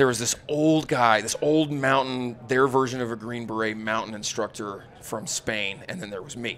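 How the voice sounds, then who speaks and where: Energetic and animated in tone, a man with an American accent talks at a moderate pace with hardly any pauses and ordinary pitch variation. His loudness swings widely over light background noise. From Utah, south of Salt Lake City. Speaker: firearms instructor, former special forces soldier. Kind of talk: casual interview chat. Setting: live at a hunting expo. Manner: energetic, animated. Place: studio. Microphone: studio mic.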